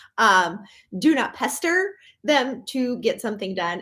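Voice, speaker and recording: A woman with a Minnesotan accent at a fairly slow pace, in a very clean recording over a silent background. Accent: Minnesota. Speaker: professional organizer. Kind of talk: live stream talk. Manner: casual, many fillers.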